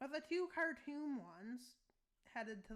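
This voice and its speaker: In a raised, projected voice, a woman speaks with a bright, sharp tone at a high pitch with very wide pitch swings. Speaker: YouTuber narrating a map war scenario. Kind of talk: casual commentary over map gameplay. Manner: loud; mumbling in other videos, now speaking up.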